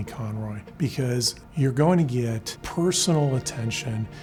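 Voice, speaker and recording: Over music in the background, a man talks with lively intonation. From Cuba. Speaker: trial lawyer, mesothelioma attorney. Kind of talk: corporate interview answer about legal services.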